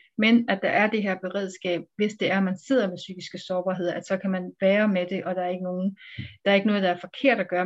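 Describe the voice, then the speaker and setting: At a fairly quick pace, a woman speaks in a monotone, flat way at a medium pitch. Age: 40s. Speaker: psychiatrist. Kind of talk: interview. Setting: video call. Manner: hesitant with fillers.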